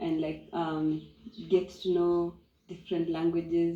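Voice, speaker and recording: At a fairly slow pace, a woman speaks in a dark, mellow tone, fairly low in pitch with monotone, flat intonation. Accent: Kenyan. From Kenya, Maasai community. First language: Maasai. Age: young. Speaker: eco lodge co-owner. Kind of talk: interview testimony.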